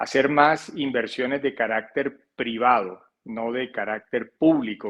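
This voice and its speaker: Speaking in a Colombian coastal accent, a man with medium pitch talks at a fairly slow pace with fairly even intonation. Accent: Colombian coastal accent, noticeable. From Colombia, Barranquilla (Caribbean coast). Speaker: financial advisor. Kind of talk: interview. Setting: podcast. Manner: hesitant, many repetitions.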